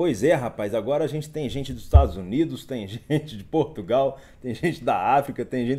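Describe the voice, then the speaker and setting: Dark, mellow tone and vocal fry from a man at a moderate pace with hardly any pauses and ordinary pitch variation. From Minas Gerais, Brazil. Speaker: investment educator. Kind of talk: live stream market commentary reading chat. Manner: casual, upbeat. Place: home room.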